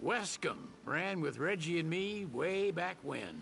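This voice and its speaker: A man puts on a character voice, gruff and high, with a Southern US accent as part of the act. He talks at a fairly slow pace with ordinary pitch variation over clear background noise. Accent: Southern US drawl. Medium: video game. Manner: gruff, folksy, laconic.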